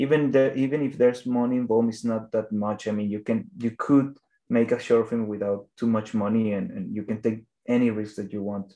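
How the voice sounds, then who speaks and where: A man with a Spanish accent and a dark, mellow tone, medium in pitch, with fairly even intonation at a fairly quick pace. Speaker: animation filmmaker. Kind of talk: interview. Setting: phone or video call. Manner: halting.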